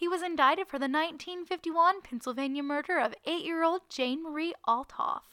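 With hardly any pauses, a woman speaks at a fairly quick pace in an extremely high pitch, her raised, projected voice bright and sharp in tone, with ordinary pitch variation and a dry, close sound with no echo. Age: 20s. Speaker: true crime podcast co-host. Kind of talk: storytelling; casual chat.

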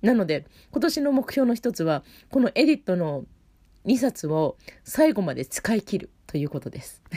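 A woman with a fairly high pitch and a dark, mellow tone, relaxed in tone, with vocal fry, very wide pitch swings and a moderate pace. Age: 40s. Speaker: opera singer hosting a web radio show. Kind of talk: solo casual monologue. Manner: relaxed, with many fillers.

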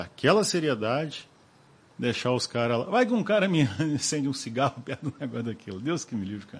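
A man speaks in an ordinary speaking voice with a fairly high pitch. He keeps a moderate pace. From Rio de Janeiro and Cataguases, Minas Gerais. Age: 40s. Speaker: business owner. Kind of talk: interview.

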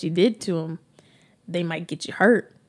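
Her intonation fairly even, a woman with a fairly low voice talks at a fairly quick pace. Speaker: podcast host. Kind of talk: casual chat, live monologue. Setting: Instagram live, with mic and earphones. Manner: fast talker.

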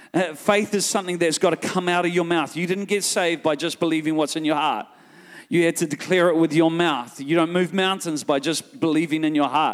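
Animated and fairly quick, a high-pitched man speaks with a New Zealand accent. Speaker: guest preacher. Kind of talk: sermon. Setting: church with live congregation.

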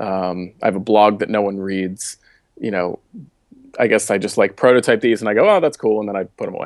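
Someone with an American accent speaks at a fairly quick pace. The intonation is fairly even, and the background is quiet. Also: man, fairly low pitch for a man. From Baltimore, US. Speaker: startup founder and developer. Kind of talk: interview. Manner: many fillers and repeated words.

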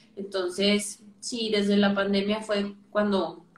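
The woman's voice is somewhat breathy. Her delivery is very slow. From northern Mexico, Torreón. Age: 20s. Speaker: physiotherapist. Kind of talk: casual interview. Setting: live video call.

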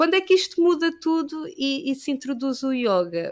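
The pitch of this woman's voice rises and falls very widely. She speaks fairly slowly. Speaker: yoga teacher. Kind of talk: casual chat. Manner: halting.

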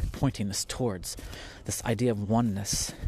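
A somewhat breathy male voice at medium pitch, moving at a moderate pace. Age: 40s. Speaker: podcast host, spiritual director and carpenter. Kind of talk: solo podcast monologue on spirituality. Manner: casual, conversational.

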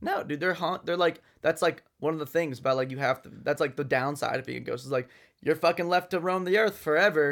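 In a normal speaking voice, a man talks at a fairly quick pace and fairly high pitch with ordinary pitch variation. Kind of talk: casual chat. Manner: casual, profane, bantering.

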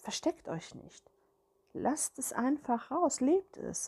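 The tone is dark and mellow and somewhat breathy, the pace very slow and the intonation lively, with a dry, close sound and no echo. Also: woman. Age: 50s. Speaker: spiritual podcaster. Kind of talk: personal monologue. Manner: hesitant, with filler sounds.

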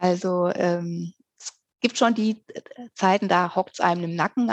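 A woman speaks at a moderate pace with a fairly low pitch and a normal speaking voice. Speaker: author. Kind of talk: casual chat.

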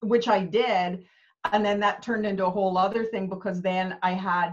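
A woman with a Canadian accent speaks at a medium pitch in an unremarkable speaking voice. Her intonation stays fairly even. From Canada. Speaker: business coach. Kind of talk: casual interview chat.

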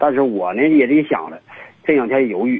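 A man's voice at a fairly quick pace, with very wide pitch swings. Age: 50s. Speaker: caller with a relationship problem. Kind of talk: phone-in call. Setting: phone call. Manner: halting, many fillers.

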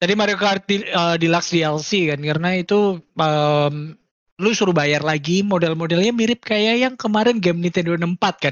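A man talks at a moderate pace in a high pitch with ordinary pitch variation. His loudness stays very even. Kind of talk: casual chat.

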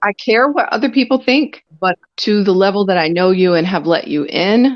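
Lively intonation and a moderate pace in a plain, everyday voice. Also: woman. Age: 40s. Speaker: podcast guest. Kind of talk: casual interview.

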